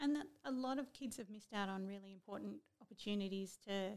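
A woman with an Australian accent, medium pitch, ordinary pitch variation, and a very fast pace. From central west New South Wales, Australia. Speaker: state politician. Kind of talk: interview.

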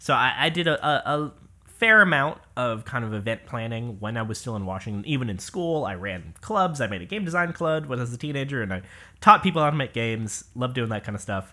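Very fast speech comes from a man with an American accent and a medium pitch. His pitch swings very widely. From US Pacific Northwest, Seattle area. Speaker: game developer. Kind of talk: casual interview conversation.

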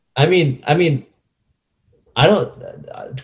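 A man speaks in a somewhat breathy voice. The tone is dark and mellow, with ordinary pitch variation. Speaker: podcast co-host. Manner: casual, jokey.

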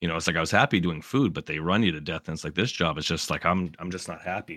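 A very fast-talking man with a very deep, low pitch and ordinary pitch variation, in a very clean recording with a silent background and a dry, close sound with no echo. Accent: American. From Massachusetts. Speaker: game streamer. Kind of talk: casual interview.

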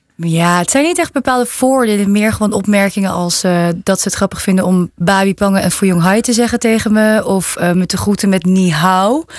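Speaking with hardly any pauses and very even loudness, a woman has an unremarkable speaking voice. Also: medium pitch for a woman, ordinary pitch variation, moderate pace. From Netherlands. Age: young. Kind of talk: interview.

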